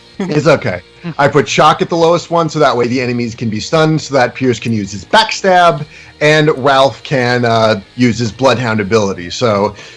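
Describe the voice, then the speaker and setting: Lively intonation from a man at a moderate pace, over noticeable background noise. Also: medium pitch for a man. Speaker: competitive gamer and musician. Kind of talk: casual explanation. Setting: Skype call. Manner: hesitant, many fillers.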